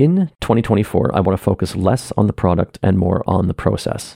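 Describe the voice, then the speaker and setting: The delivery is fairly quick and lively in intonation, with a dry, close sound and no echo. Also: man. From Canada. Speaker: artist and theater maker podcasting personal updates. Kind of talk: personal monologue update. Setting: home office room. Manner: lowered pitch, close to mic. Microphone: echoey room, very close to mic.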